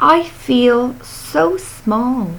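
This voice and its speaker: Using a put-on character voice, a female-sounding speaker goes high in pitch with very wide pitch swings, with clear background noise behind her. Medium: read story.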